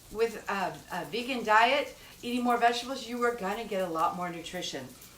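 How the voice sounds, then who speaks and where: A woman's high voice with lively intonation at a fairly quick pace, amid noticeable background noise and audible room echo. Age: 60s. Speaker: cooking show host. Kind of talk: cooking tutorial. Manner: casual, chatty.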